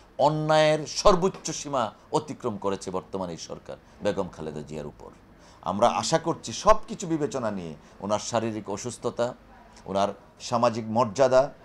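Pitch swings very widely and loudness swings greatly as a man speaks. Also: medium pitch for a man. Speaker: lawyer. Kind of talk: press statement.

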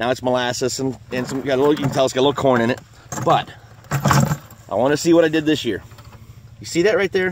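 Fairly quick male speech, dry with no echo, over noticeable background noise. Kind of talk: casual outdoor tutorial commentary. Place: forest. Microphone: phone near.

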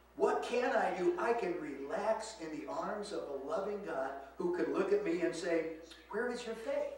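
A man's voice at a moderate pace with very wide pitch swings, in strong room echo and noticeable background noise. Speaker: preacher. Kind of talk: sermon. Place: church. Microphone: camera far.

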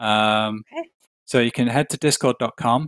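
Heard in a dry, close recording with no echo, the speaker talks with a British accent and fairly even intonation. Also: man. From UK. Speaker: show producer and teacher. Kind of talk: casual chat. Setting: video call.

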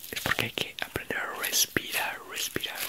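A man whispers. His pace is fairly slow. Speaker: ASMR creator; teacher. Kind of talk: ASMR sleep video. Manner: soft-spoken. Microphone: studio mic.

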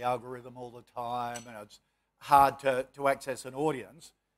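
Here a man talks at a moderate pace. He has an Australian accent. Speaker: moderator and businessman; moderator. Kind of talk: panel moderation. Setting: stage with audience. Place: hall.

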